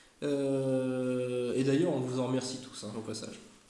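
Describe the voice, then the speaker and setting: A man speaks at a medium pitch and a fairly slow pace. Audible room echo and noticeable background noise are present. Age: 30s. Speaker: YouTuber, former airsoft shop manager. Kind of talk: casual chat. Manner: hesitant, many fillers.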